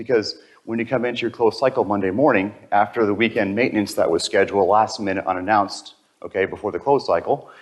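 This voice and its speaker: Talking very fast, a man speaks with an American accent. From US Northeast, Connecticut. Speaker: conference presenter. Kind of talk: technical presentation. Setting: stage with audience.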